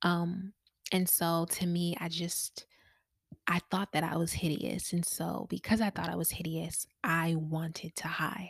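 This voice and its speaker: On a very clean recording with a silent background, a woman speaks at a fairly low pitch. Her voice is somewhat breathy, her intonation monotone and flat. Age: 20s. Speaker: podcast host. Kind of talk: personal testimony monologue. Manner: casual, many fillers.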